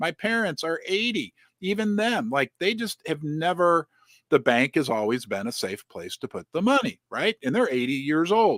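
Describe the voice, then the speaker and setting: The recording is very clean with a silent background and a dry, close sound with no echo. Speech moves at a moderate pace with very wide pitch swings. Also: man, high pitch for a man. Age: 50s. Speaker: interviewer. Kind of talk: interview. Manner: halting.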